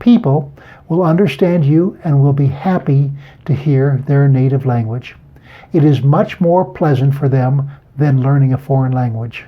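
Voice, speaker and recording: In an American accent, a man speaks with fairly high pitch, very even loudness and a somewhat breathy voice. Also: ordinary pitch variation, moderate pace. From California, USA. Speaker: language teacher. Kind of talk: language lesson talk to camera.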